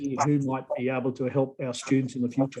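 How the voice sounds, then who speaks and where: A man with an Australian accent talks at a very fast pace in a fairly high pitch. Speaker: professor. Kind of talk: video call introduction.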